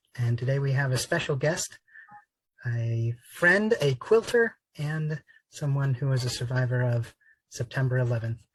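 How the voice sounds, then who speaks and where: A man talks at a fairly slow pace with fairly high pitch. His voice is somewhat breathy. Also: dry, close sound with no echo. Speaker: podcast host. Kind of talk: interview host.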